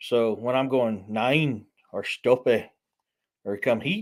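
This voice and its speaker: In a Southern US accent, a man speaks at a very slow pace. His pitch is medium, with ordinary variation. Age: 40s. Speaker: author. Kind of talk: casual live stream chat. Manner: casual, hesitant with fillers.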